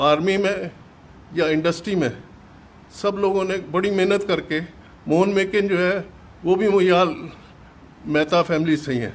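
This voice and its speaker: High-pitched male voice with fairly even intonation. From Punjab, Pakistan (Jhelum district). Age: 80s+. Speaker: partition survivor, businessman. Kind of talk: testimony. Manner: halting.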